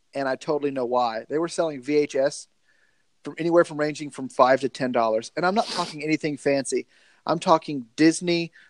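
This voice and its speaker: Against a quiet background, a man with a Southern US accent talks at a fairly quick pace and fairly high pitch, with ordinary pitch variation. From US South, Georgia. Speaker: podcast host, video store movie fan. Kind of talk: casual chat. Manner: joking, profane.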